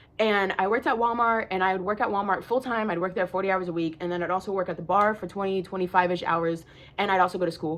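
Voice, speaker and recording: A woman with a medium pitch speaks in an animated tone with ordinary pitch variation. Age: 20s. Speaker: lifestyle vlogger. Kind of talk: casual monologue. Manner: loud.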